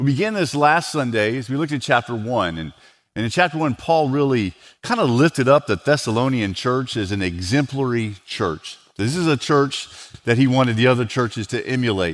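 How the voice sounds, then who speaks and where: The man talks at a fairly quick pace over a quiet background. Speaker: lead pastor. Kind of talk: sermon. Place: church. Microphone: headset.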